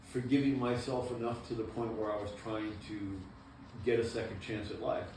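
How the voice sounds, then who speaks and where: In an American accent, the speaker keeps a fairly even intonation while noticeable background noise and audible room echo fill the recording. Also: man. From Maine, US. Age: 60s. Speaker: former prison inmate. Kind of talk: interview.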